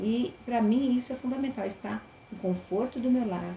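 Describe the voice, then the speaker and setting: Talking at a fairly slow pace, a woman with a fairly high pitch shows ordinary pitch variation. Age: 60s. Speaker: teacher. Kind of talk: webinar lecture. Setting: online live stream.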